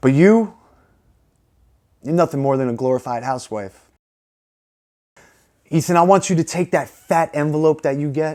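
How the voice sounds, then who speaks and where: In a very clean recording with a silent background, a man speaks with a dark, mellow tone at a fairly high pitch. He keeps a moderate pace with ordinary pitch variation and long, frequent pauses. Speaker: pro wrestler. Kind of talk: wrestling promo. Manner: cocky, taunting, confrontational.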